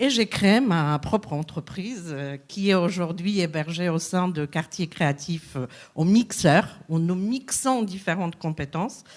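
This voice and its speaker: Her intonation is lively, with a fairly low pitch. The woman speaks at a fairly slow pace. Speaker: business coach. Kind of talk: conference talk.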